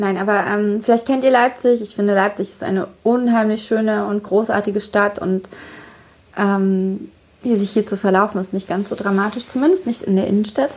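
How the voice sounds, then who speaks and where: An unremarkable speaking voice from a woman, medium in pitch, at a moderate pace with fairly even intonation. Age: 30s. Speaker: author and podcast host. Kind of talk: casual chat. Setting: hotel room.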